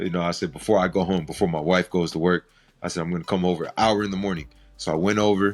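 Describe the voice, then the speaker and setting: In a very clean recording with a silent background, a man with very deep, low pitch speaks in monotone, flat intonation. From San Francisco Bay Area, California. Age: 30s. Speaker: rapper. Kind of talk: podcast interview.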